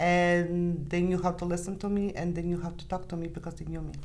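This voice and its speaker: A woman with a fairly low pitch and a non-native accent speaks in a room with audible echo. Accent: foreign. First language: not English. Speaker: sales producer. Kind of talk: podcast interview.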